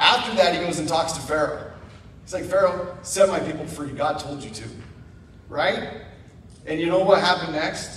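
A high-pitched man with an American accent, a moderate pace, ordinary pitch variation, big swings in loudness, and long, frequent pauses, over noticeable background noise. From Idaho. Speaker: guest speaker. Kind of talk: sermon. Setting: church. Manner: animated.

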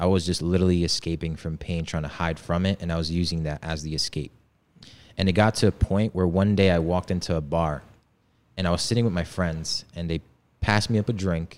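At a fairly quick pace, a man talks with a very deep, low pitch and fairly even intonation on a very clean recording with a silent background. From Poland, village; moved to US as child. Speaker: men's coach. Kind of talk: podcast interview, personal story.

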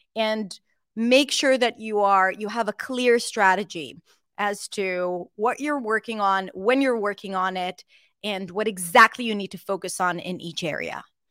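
In an Israeli accent, a woman speaks at a fairly slow pace with ordinary pitch variation and a bright, sharp tone. The sound is dry and close with no echo, on a very clean recording with a silent background. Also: medium pitch for a woman. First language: Hebrew. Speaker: English pronunciation coach. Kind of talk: casual interview chat.

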